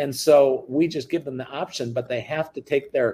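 This male voice is somewhat breathy. He has an American accent. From US Midwest, central Wisconsin. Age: 60s. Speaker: reverse mortgage business owner. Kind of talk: interview.

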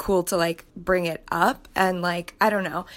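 In a very clean recording with a silent background, a woman speaks at a moderate pace and medium pitch in a plain, everyday voice. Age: 20s. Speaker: caller. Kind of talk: voice message.

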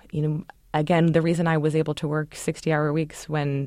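A woman with an American accent speaks at a fairly quick pace in a very deep, low pitch. The recording is very clean, with a silent background. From Baltimore, Maryland. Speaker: fitness company executive. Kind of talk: interview.

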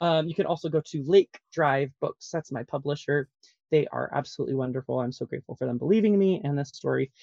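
A man talks with an American accent. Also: dry, close sound with no echo. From Colorado Springs, US. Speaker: author, ex-pastor. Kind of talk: casual interview. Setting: recording in a closet.

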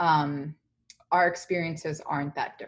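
Moderately paced, a woman speaks with a very deep, low pitch. Her intonation stays fairly even. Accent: New York. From New York, South Bronx (Dominican-born). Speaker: tech company employee. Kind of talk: casual interview.

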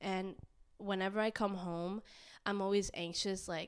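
A woman with an American accent speaks in a normal speaking voice at a medium pitch, her intonation fairly even, on a very clean recording with a silent background. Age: 20s. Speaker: podcast host. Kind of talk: casual chat.

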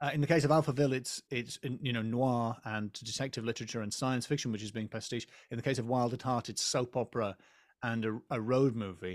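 A man talks at a fairly quick pace in an English accent, his intonation fairly even. The recording is very clean, with a silent background. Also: medium pitch for a man. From England. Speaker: comedian. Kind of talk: casual chat.

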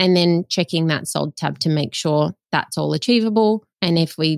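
Speaking with an Australian accent, a woman uses a fairly low pitch and lively intonation at a moderate pace, the sound dry and close with no echo. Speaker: buyer's agent. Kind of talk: interview.

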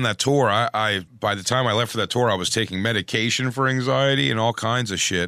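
Very fast speech from a man with an American accent, medium pitch, ordinary pitch variation and hardly any pauses, amid noticeable background noise. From Philadelphia. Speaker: comedian. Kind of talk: casual chat. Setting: studio.

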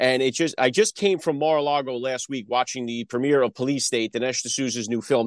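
Speaking at a fairly quick pace with an American accent, a man with a medium-pitched voice comes through dry and close with no echo over a quiet background. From New Jersey. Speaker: podcast host. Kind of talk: political commentary monologue and interview. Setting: video call interview. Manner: animated; urgent, preachy.

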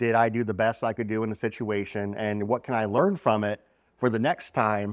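An unremarkable speaking voice, fairly quick in pace, with fairly even intonation. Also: man, dry, close sound with no echo, quiet background. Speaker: conference co-organizer and guest. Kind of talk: casual conversational podcast chat.

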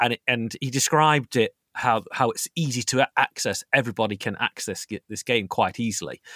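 A man with an East Midlands accent speaks at a fairly quick pace with hardly any pauses, his medium-pitched voice bright and sharp, ordinary in its pitch variation, recorded very cleanly against a silent background with a dry, close sound and no echo. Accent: East Midlands, similar to host's. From East Midlands, England (Nottingham). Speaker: strategy gaming enthusiast. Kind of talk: casual chat. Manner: halting, many fillers and restarts.

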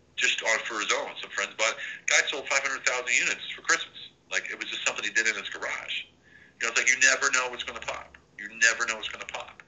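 Very fast speech in an American accent, big swings in loudness, noticeable background noise. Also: man. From Central Pennsylvania. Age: 50s. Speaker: army veteran and business consultant. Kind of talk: interview.

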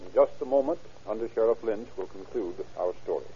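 A man's medium-pitched voice, dark and mellow in tone, with ordinary pitch variation

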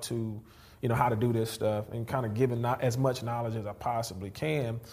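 A man's somewhat breathy voice at a medium pitch. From Houston, Texas. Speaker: real estate investor. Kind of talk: interview. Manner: animated.

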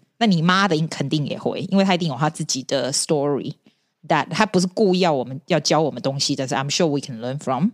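A woman speaks at a very fast pace in a very deep, low pitch, her intonation lively and the sound dry and close with no echo. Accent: strong Taiwanese. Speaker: podcaster and teacher. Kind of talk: casual chat.

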